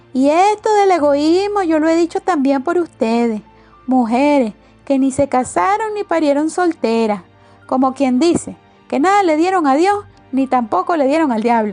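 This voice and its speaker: A woman with a Venezuelan accent, high pitch and very wide pitch swings, at a moderate pace, with music in the background. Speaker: audiobook narrator. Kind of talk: audiobook novel reading.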